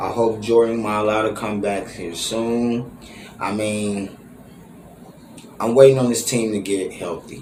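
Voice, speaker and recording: Long, frequent pauses break up this man's speech. Audible room echo and noticeable background noise fill the recording. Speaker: sports fan vlogger. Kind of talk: fan reaction commentary. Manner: animated.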